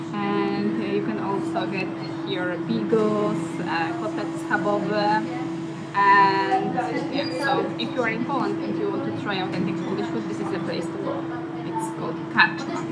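Music plays in the background. Over it, a woman speaks at a fairly slow pace. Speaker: travel vlogger. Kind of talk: casual vlog chat. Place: cafe. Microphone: phone near.

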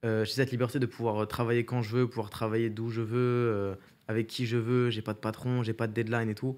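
A man talks at a fairly quick pace in a flat, monotone delivery. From Paris region, France; France. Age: 20s. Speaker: streamer and content creator; streamer, content creator. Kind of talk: casual interview. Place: studio. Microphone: studio mic.

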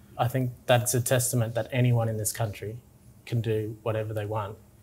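A man speaks with an Australian accent in a flat monotone. His medium-pitched voice is somewhat breathy. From Tingha, New South Wales, Australia. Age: young. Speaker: interviewee. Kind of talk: interview answer. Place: office. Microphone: lapel.

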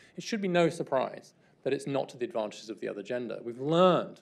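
Man talking at a very fast pace with lively intonation. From England. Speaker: guest lecturer. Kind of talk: lecture. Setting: stage with audience. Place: hall. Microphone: podium.

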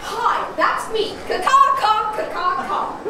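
Someone delivers a put-on character voice at an extremely high pitch and fairly slow pace, with strong echo and clear background noise. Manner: cawing, fake.

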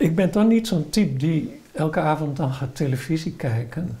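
Speaking at a fairly slow pace with ordinary pitch variation, the voice has a dark, mellow tone. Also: man. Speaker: retired professor of education. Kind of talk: interview answer, oral history. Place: home room.

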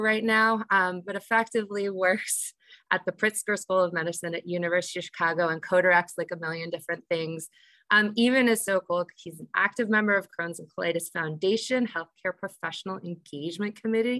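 A woman's bright, sharp-toned voice at a fairly quick pace, with ordinary pitch variation, a dry sound with no echo, and a quiet background. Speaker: program moderator. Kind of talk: introductory moderation. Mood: cheerful, laughing often. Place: home room. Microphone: video call.

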